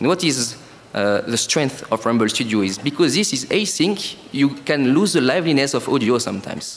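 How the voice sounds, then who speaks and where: Speaking with a French accent, a man uses lively intonation at a medium pitch and a moderate pace. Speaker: startup co-founder. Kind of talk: sales pitch.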